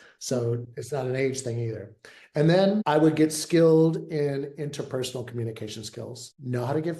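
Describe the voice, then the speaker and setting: This man's voice is somewhat breathy, with a dark, mellow tone. He talks at a moderate pace with ordinary pitch variation. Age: 60s. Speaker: therapist turned veterinary leadership consultant. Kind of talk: interview. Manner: casual, conversational with fillers.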